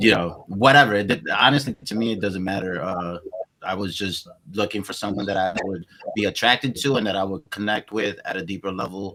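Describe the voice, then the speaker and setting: A fairly low-pitched man with a slight Spanish accent, ordinary pitch variation, and a fairly quick pace. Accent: slight Spanish-inflected English. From Queens, New York, raised from age seven; born Venezuela, childhood Colombia. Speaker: podcast host. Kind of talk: interview. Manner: halting, many repetitions and fillers.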